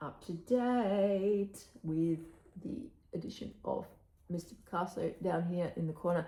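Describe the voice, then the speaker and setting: With an Australian accent, a woman speaks at a fairly low pitch in a dark, mellow tone marked by vocal fry. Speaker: cross-stitch vlogger. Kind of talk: casual chat. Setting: home recording, early morning. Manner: casual with fillers.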